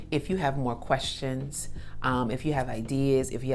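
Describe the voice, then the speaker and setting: With audible room echo and noticeable background noise, a woman speaks at a very deep, low pitch. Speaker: hip hop artist and wellness content creator. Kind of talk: casual vlog talk to camera. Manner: animated.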